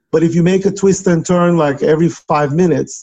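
A man speaks with a Turkish accent and ordinary pitch variation. His tone is dark and mellow. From Turkey. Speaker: software company founder. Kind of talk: interview.

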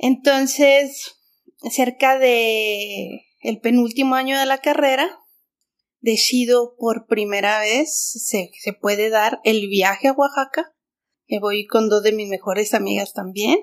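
Speaking at a very slow pace, a woman uses a fairly high pitch. Her pitch varies in an ordinary way. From Mexico City. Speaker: artist and art teacher. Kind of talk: interview.

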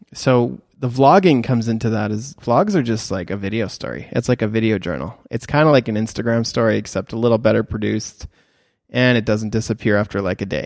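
In a plain, everyday voice, a man speaks at medium pitch with ordinary pitch variation. The recording is very clean, with a silent background. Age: 30s. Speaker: photographer and podcast host for creators. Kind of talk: casual solo podcast talk. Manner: casual, with many fillers and restarts.

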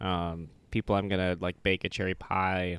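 A man speaks in a very deep, low voice at a fairly slow pace with monotone, flat intonation, recorded very cleanly with a silent background and dry, close sound with no echo. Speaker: podcast co-host. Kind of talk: casual chat.

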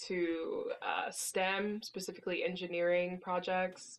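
A woman speaks over noticeable background noise. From US, born in Mexico. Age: 20s. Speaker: company CEO. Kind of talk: casual interview.

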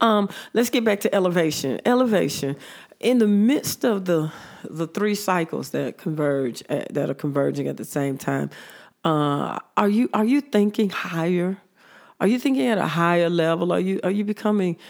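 This woman has a fairly low pitch and lively intonation. She talks at a moderate pace. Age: 50s. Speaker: radio talk show host and pastor. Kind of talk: call-in talk show with spiritual teaching. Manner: halting, many fillers and repetitions.

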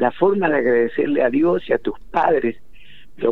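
A man speaks at a fairly high pitch. His pace is moderate. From Argentina, Entre Ríos countryside. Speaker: historian and writer. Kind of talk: interview.

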